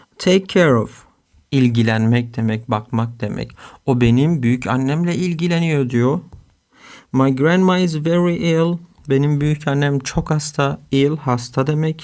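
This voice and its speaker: A man with a fairly high pitch and ordinary pitch variation speaks at a very slow pace on a very clean recording with a silent background. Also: very even loudness. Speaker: English teacher. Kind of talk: tutorial.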